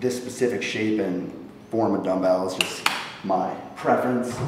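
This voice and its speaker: Strong room echo surrounds a man talking at a fairly slow pace. Light background noise is also heard. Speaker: fitness vlogger. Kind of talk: casual vlog chat. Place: gym.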